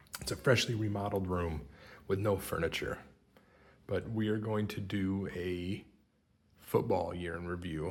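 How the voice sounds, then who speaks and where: Someone whispers quietly at a moderate pace. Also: man. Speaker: sports card collector YouTuber. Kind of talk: casual product review. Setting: empty remodeled room. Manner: whispering, quiet.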